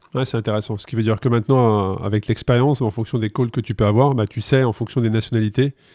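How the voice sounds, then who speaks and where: A man with a dark, mellow tone speaks very fast at medium pitch, with hardly any pauses and fairly even intonation. The sound is dry and close, with no echo. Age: 50s. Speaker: podcast host. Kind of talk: podcast interview.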